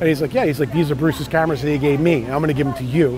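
A man's fairly high voice with a New York accent, dry with no echo, over music in the background. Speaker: surf photographer. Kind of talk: interview answer. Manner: slight edge, attitude. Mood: nostalgic, enthusiastic storytelling. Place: street. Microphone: lapel.

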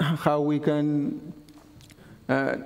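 A man's fairly high voice has a dark, mellow tone. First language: not English. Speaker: conference speaker. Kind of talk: technical conference talk. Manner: halting. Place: classroom.

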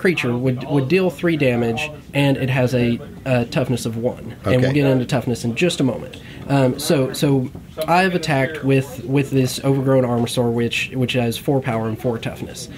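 The speaker uses ordinary pitch variation. Noticeable background noise can be heard. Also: man. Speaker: guest. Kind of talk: tutorial. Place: shop.

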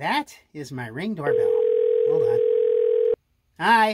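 A cartoonish character voice, high in pitch, drawls at a very slow pace. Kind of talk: comedy sketch. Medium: puppet.

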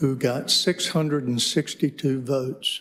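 The speaker has a North Carolina accent. Pitch variation is ordinary. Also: man. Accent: Southern US, North Carolina. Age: 70s. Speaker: retired lawyer, public commenter. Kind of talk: public comment.

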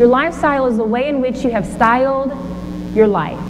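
Over noticeable background noise, a woman with a high pitch talks at a fairly quick pace, her tone energetic and her intonation lively. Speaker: motivational speaker. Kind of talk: motivational keynote speech. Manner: energetic, engaging. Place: stage.

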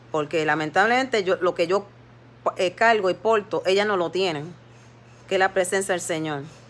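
The pace is moderate and the woman's pitch sits in the medium range. Her pitch varies in an ordinary way. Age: 50s. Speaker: lay preacher on social media live. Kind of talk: devotional exhortation livestream. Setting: Facebook live stream. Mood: earnest, somewhat aggrieved. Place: home room. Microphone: phone near.

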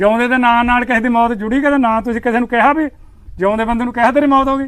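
A man's extremely high-pitched voice with fairly even intonation. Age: 70s. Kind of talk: interview answer.

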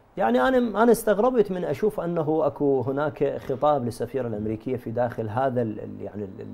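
A man with a dark, mellow tone speaks at a medium pitch and a moderate pace. His intonation is lively, with hardly any pauses. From Iraq. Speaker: religious scholar and research center director; guest. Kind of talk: TV panel discussion. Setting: studio. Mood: puzzled, critical. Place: studio.

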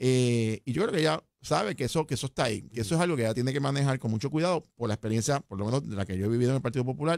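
A man at a very fast pace with hardly any pauses and lively intonation, in a dry sound with no echo and a quiet background. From Puerto Rico. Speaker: political analyst. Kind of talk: political analysis chat. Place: studio. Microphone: studio mic.

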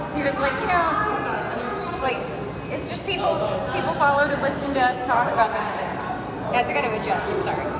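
Loud background noise sits behind a woman talking at a fairly quick pace. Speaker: streamer. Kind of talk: casual chat. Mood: relaxed, chatty.

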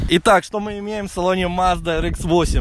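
Here a man speaks with a high pitch and fairly even intonation. His pace is fairly slow, and the sound is dry with no echo. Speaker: car vlogger. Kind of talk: casual car review walkthrough. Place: open country. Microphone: phone near.

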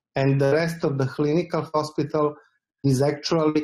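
A man talks in a flat, monotone way. Music plays in the background. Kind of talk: panel discussion answer. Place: home room. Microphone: video call.

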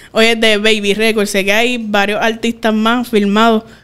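A woman with a fairly high pitch speaks at a fairly slow pace. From Puerto Rico. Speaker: podcast host. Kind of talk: casual interview. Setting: studio. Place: studio. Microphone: studio mic.

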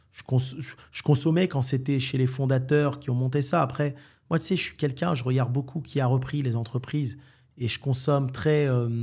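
Over a quiet background, a man sounds somewhat breathy, his intonation fairly even. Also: moderate pace. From France, Algerian heritage. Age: 40s. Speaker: entrepreneur; podcast guest. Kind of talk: casual interview. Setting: Marrakech. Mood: calm, assured. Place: studio. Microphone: studio mic.

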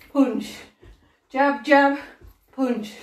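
Against a quiet background with audible room echo, a woman speaks at a very slow pace. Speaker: fitness instructor. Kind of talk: workout coaching cues. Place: home room. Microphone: camera far.

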